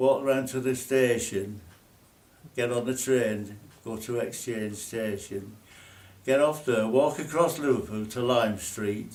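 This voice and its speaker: Speaking very slowly with a Lancashire accent, a man keeps a medium pitch and ordinary pitch variation amid audible room echo. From northern England, Burscough, Lancashire. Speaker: former RAF national serviceman. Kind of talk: casual reminiscing chat.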